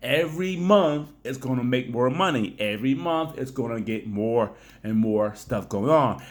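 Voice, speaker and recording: A man speaks loudly with lively intonation. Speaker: YouTuber and blogger. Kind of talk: casual vlog talk. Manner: fast.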